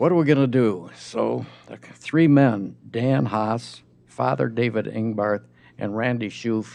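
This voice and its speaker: A man speaks at a very slow pace and medium pitch. His intonation is lively. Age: 80s+. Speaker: public commenter at city council. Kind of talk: public comment speech. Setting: city council chamber.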